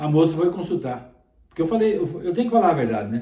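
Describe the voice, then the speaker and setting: Audible room echo surrounds a man's high-pitched voice with a dark, mellow tone. He talks at a fairly quick pace with lively intonation. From Minas Gerais, Brazil. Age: 70s. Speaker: songbird breeder. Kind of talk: interview. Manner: halting, repetitive.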